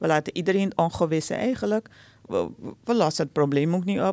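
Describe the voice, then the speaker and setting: A woman's medium-pitched voice, dark and mellow in tone, at a fairly quick pace with a dry sound and no echo. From Suriname. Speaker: conflict resolution expert; podcast guest. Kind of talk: interview; interview answer. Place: studio. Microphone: studio mic.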